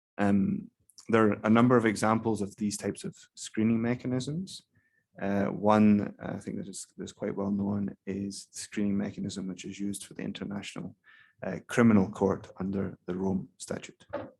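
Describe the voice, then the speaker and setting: A soft-spoken man with a fairly low pitch, fairly even intonation, big swings in loudness and a moderate pace. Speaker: keynote speaker on investment law policy. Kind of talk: conference keynote talk. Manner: hesitant, many fillers.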